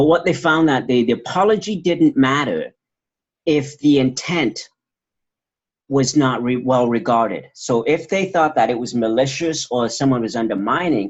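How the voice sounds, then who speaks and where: This man has an unremarkable speaking voice, fairly high pitch for a man, and ordinary pitch variation. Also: moderate pace. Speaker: doctoral graduate presenting dissertation research. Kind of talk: research presentation and Q&A.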